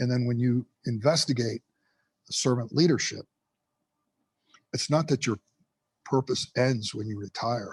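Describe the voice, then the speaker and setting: A man's somewhat breathy, medium-pitched voice at a moderate pace, with ordinary pitch variation and a dry, close sound with no echo. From US, Cuban immigrant family. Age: 60s. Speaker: retired firefighter and rehab counselor. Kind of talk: podcast interview. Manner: halting, repeats words.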